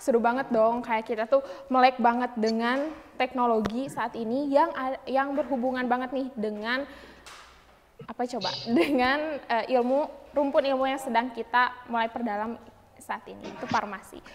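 Over light background noise, a woman speaks at a moderate pace with a high pitch. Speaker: student event MC. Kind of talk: event hosting. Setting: video call. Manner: energetic. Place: studio.

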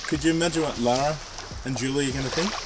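Speaking at a fast pace, a man with a medium pitch and ordinary pitch variation is heard over clear background noise.

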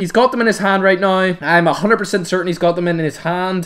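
A man's high, raised and projected voice, animated in tone at a fairly quick pace, with noticeable background noise. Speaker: gaming YouTuber. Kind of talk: live gameplay commentary. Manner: loud.

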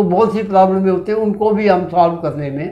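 Pitched high, a man speaks in a dark, mellow tone with flat, monotone intonation. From Shimla, Himachal Pradesh, India; Himachal Pradesh, India. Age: 70s. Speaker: retired air force veteran, writer and social worker; interview guest. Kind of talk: interview. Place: studio. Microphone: lapel.

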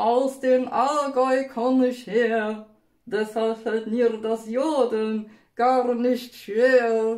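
Using a cartoonish character voice, a woman speaks very slowly at a high pitch with audible echo. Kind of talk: rhymed puppet storytelling for children. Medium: puppet show. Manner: cheerful, folksy.

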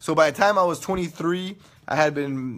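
Against a quiet background, a man with an American accent sounds animated, his pitch varying in an ordinary way. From California. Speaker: internet radio host. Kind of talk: casual livestream chat. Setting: live video stream. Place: home room. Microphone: phone near.

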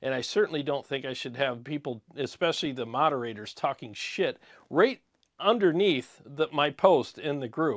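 Against a quiet background, a man with a fairly high pitch talks at a moderate pace using lively intonation. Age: 50s. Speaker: YouTube guitar gear reviewer. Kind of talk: casual vlog monologue. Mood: frustrated, venting. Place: studio. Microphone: lapel.

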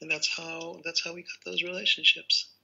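An American-accented man at a moderate pace, with light background noise. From Israel. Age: 60s. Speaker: rabbi and theologian. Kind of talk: interview. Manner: playful. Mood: calm, reflective. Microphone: video call.

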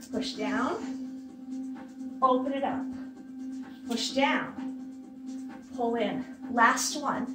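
With clear music in the background, the voice moves at a very slow pace in a monotone, flat intonation. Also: woman, high pitch for a woman. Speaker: fitness instructor. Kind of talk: workout instruction cues. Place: home room. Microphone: camera far.

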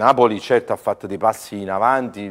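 Male speaker, quiet background. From Naples, Italy; Italy. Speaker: priest running a children's foundation. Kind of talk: TV interview. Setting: TV studio. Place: studio.

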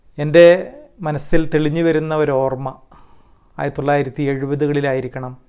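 Against a quiet background, a man speaks with a fairly high pitch and a dark, mellow tone. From Kerala. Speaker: former student, community member; interviewee. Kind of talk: testimony. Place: home room. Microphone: lapel.

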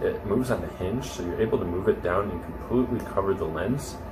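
A man talks at a fairly quick pace in a low pitch, his pitch varying in an ordinary way, with background noise clearly audible.

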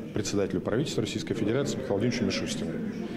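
A man talks over loud background noise. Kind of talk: interview answer. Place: hall.

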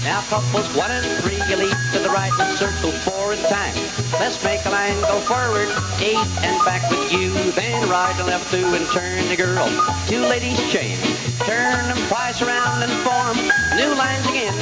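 Male speech at moderate speed, loud noise behind it. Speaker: square dance caller. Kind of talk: square dance calling rhythmic to music. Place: hall. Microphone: handheld.

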